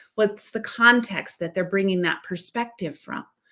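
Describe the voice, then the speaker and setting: Here a woman with an American accent uses an ordinary speaking voice with ordinary pitch variation. The recording is very clean against a silent background. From western United States. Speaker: educator and leader. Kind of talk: interview conversation.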